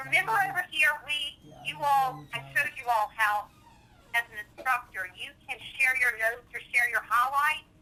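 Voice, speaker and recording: A woman's raised, projected voice, high-pitched and lively in intonation, with big swings in loudness at a moderate pace. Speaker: software trainer. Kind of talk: tutorial.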